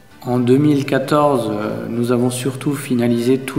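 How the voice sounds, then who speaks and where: The voice is monotone, with flat intonation, at a moderate pace. There is audible room echo and noticeable background noise. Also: man. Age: 30s. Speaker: deputy mayor and technician. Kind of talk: self-introduction interview.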